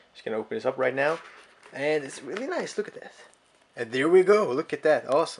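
Speech rushes at a very fast pace over noticeable background noise. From Sweden. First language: Swedish. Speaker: tech YouTuber. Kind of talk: unboxing video. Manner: casual, hesitant with many fillers. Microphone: phone near.

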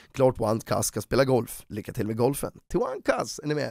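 Against a quiet background, a man talks at a fairly quick pace in an animated tone with lively intonation, the sound dry with no echo. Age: 30s. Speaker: YouTuber. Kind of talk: commentary video. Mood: critical, sarcastic, annoyed. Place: home room. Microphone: studio mic.

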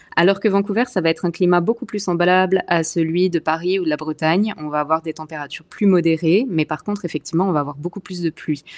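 Her pace is very fast, with hardly any pauses. This woman has a fairly low pitch and ordinary pitch variation. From Alsace, eastern France. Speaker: expat, communications officer. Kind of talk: interview conversation.

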